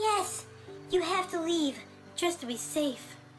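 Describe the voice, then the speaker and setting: A put-on character voice at an extremely high pitch and fairly slow pace, with clear music in the background. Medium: read story. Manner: calm, soothing.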